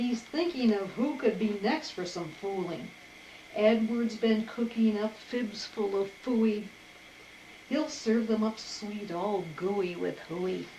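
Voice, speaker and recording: A woman speaks very slowly in a fairly high voice, with noticeable noise in the background. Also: ordinary pitch variation. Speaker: grandmother reading aloud. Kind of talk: children's picture-book read-aloud.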